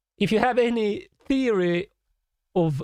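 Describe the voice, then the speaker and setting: Lively intonation marks this man's speech, captured in a dry, close sound with no echo. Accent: Swedish. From Sweden. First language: Swedish. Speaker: musician and composer reacting to music. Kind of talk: live stream reaction, reading chat comments. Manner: animated.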